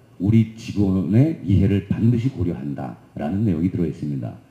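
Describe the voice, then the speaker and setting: A man's somewhat breathy, dark and mellow voice moves at a fairly quick pace with lively intonation, with audible room echo. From South Korea. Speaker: corporate HR executive; presenter. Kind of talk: conference presentation. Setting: conference stage with audience. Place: hall. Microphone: handheld.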